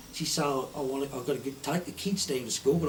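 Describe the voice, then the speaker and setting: A man speaks with a strong Suffolk accent and lively intonation. Noticeable background noise can be heard. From Suffolk, England. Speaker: retired poacher. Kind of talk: storytelling. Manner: broad dialect speech.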